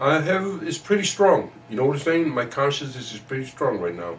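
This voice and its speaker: A man speaks with lively intonation. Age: 60s. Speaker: community elder and chess teacher. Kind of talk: interview. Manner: animated.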